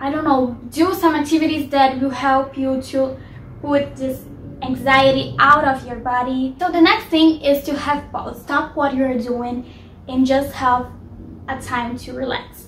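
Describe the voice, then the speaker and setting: A woman's high voice with a non-native accent, fairly even intonation and a fairly slow pace, amid noticeable background noise and audible room echo. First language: not English. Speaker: lifestyle vlogger. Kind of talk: casual advice vlog. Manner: hesitant, with fillers.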